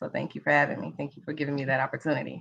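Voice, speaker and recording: A woman with a Mississippi accent speaks in a very deep, low voice against a quiet background. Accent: Mississippi country. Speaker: interviewee in documentary episode. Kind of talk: panel discussion at screening event. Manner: enthusiastic.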